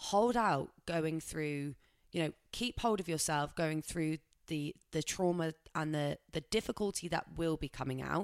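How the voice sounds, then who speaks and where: On a very clean recording with a silent background and a dry, close sound with no echo, a woman speaks at a moderate pace with fairly low pitch and ordinary pitch variation. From England, Somerset. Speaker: podcast co-host. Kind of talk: casual chat.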